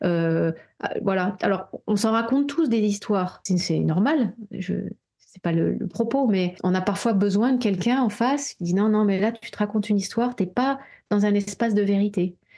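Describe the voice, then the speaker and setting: A woman's voice sits at a medium pitch and has a dark, mellow tone. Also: ordinary pitch variation, moderate pace. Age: 40s. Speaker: therapist and coach. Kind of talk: casual chat.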